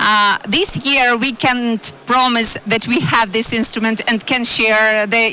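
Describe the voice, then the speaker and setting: Over noticeable background noise, a woman with a fairly high pitch speaks with fairly even intonation. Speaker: energy company executive, panelist. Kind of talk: panel discussion. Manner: halting, many fillers.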